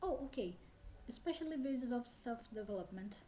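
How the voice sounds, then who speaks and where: Somewhat breathy, a woman talks at a moderate pace in a Brazilian accent. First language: Brazilian Portuguese. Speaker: language learner vlogger. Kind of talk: casual vlog talk. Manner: hesitant, many fillers.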